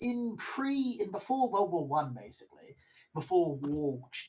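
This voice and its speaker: A man with a British accent and lively intonation. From Britain. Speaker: stream co-host. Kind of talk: casual chat. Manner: animated.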